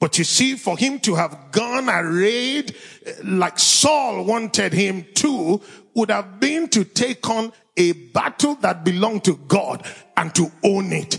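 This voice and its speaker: Delivered at a very slow pace in a Nigerian accent, the speech has lively intonation and very even loudness over noticeable background noise. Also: man, high pitch for a man. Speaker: pastor. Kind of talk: fervent prayer, spoken to God. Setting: church with live audience. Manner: earnest, impassioned, pleading.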